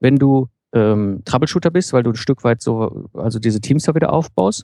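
Dark, mellow tone from a man at medium pitch with ordinary pitch variation, in a very clean recording with a silent background and a dry, close sound with no echo. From Ruhr area, Germany. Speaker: self-employed founder and systems engineer. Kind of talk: interview.

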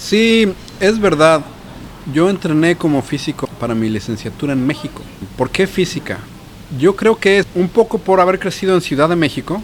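Background noise is noticeable. The speaker has lively intonation and a Mexican accent. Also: man, high pitch for a man, moderate pace. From Mexico City. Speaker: physicist and cancer researcher. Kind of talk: casual chat. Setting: pub.

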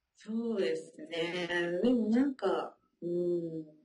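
Lively intonation marks the very slow speech of a woman. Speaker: French learner, mother living abroad. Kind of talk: interview. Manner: many filler words.

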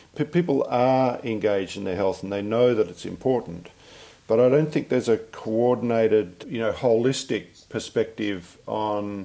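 Speaking at a moderate pace, a man with an Australian accent has a dark, mellow tone and a medium pitch. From Western Australia. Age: 60s. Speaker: family physician. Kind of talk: interview conversation. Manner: halting.

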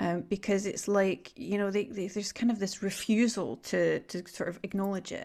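A woman with a Scottish accent talks at a moderate pace and a medium pitch, with fairly even intonation. The recording is very clean, with a silent background. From Scotland. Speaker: podcast host. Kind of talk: casual interview conversation.

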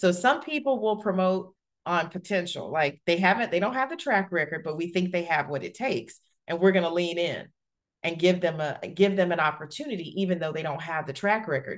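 A woman with an ordinary speaking voice, fairly low pitch and an American accent, with lively intonation at a fairly quick pace. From US South, Alabama. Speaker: corporate executive and author. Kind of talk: interview.

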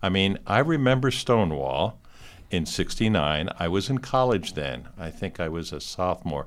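With vocal fry and a very deep, low pitch, a man speaks at a moderate pace, his pitch swinging very widely. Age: 60s. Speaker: university LGBTQ center director. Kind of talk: interview. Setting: studio.

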